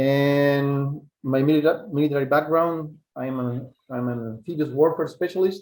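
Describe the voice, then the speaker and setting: A man with a Spanish accent, fairly high pitch and ordinary pitch variation. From Chile. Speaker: survival instructor. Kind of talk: webinar lecture. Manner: halting, with fillers.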